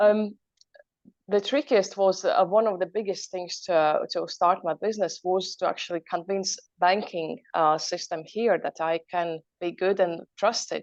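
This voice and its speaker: A woman with a Latvian accent speaks in a medium pitch at a fairly slow pace. Her intonation is fairly even, and the sound is dry and close with no echo. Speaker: entrepreneur. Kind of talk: motivational talk.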